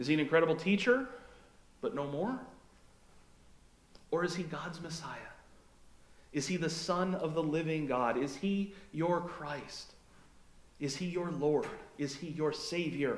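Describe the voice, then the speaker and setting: A man with an American accent, fairly high pitch, ordinary pitch variation, and a fairly slow pace, with long, frequent pauses and audible room echo. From Fargo, North Dakota, USA. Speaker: pastor. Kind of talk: sermon to a congregation. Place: church.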